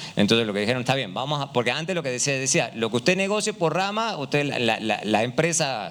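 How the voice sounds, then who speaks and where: A man with an Argentine accent talks at a very fast pace. His medium-pitched voice makes very wide pitch swings. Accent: Argentine Spanish, similar to Uruguayan. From Argentina. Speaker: economist, panel speaker. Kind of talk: panel discussion. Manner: hesitant, many fillers.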